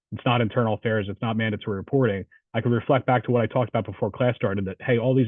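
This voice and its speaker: The speech comes at a very fast pace. It is delivered with a New Jersey accent. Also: man. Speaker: police officer and instructor. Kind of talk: Q&A answer in online training session.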